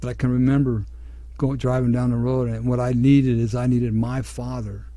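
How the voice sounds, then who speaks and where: A man speaks at a fairly quick pace, with audible room echo around his voice. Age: 60s. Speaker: radio host. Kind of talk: radio talk show monologue.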